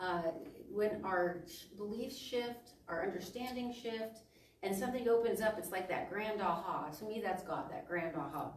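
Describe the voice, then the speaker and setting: Against noticeable background noise and audible room echo, a woman with a medium-pitched voice speaks at a moderate pace with lively intonation. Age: 60s. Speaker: minister. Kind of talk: sermon. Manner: halting.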